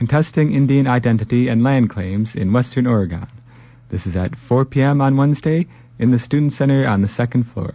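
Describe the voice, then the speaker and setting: He has an unremarkable speaking voice at a medium pitch. The man talks at a fairly quick pace with ordinary pitch variation. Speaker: radio co-host and news reader. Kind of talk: casual chat and news reading. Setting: studio.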